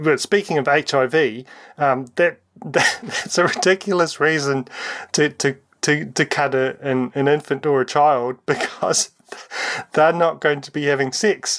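At a fairly slow pace, a man in a New Zealand accent talks at a fairly high pitch with ordinary pitch variation. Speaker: community radio host. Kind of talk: interview.

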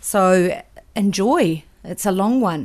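Against a quiet background, a woman speaks at a medium pitch with a New Zealand accent. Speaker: radio host. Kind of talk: radio DJ patter, live music show. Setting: radio studio. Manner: relaxed, chatty; conversational, mildly halting with fillers.

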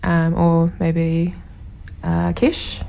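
A woman with a New Zealand accent. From New Zealand (Taranaki). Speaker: local election candidate. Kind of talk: interview.

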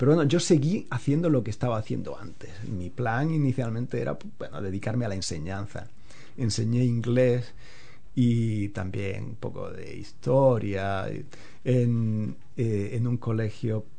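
A man's medium-pitched, dark, mellow and somewhat breathy voice at a fairly slow pace, with ordinary pitch variation and audible room echo. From Spain, Andalusia (Alpujarra, Granada). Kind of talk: casual interview.

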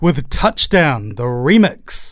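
A man speaks with a New Zealand accent. His pace is very slow. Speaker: radio DJ. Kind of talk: radio DJ patter: back-announcing tracks and reading artist trivia between songs. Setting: radio studio.

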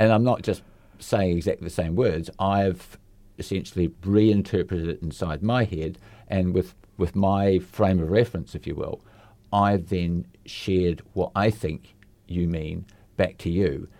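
Slow-ish and fairly even, a man's very deep, low voice with a dark, mellow tone and a New Zealand accent comes through on a very clean recording with a silent background. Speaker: community radio host. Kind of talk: casual chat. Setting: studio.

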